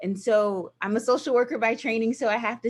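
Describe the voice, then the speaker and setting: A woman talks with a Southern US accent. The recording is very clean, with a silent background. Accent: Southern twang. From US South, small towns Georgia/Virginia. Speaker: nonprofit director of operations. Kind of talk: guest talk with slides. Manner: animated.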